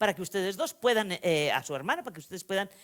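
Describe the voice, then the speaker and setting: A woman's voice with very wide pitch swings, in a very clean recording against a silent background. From Spain, Vitoria-Gasteiz (Basque Country). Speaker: novelist. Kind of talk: lecture. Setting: stage with audience. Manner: animated, conversational storytelling.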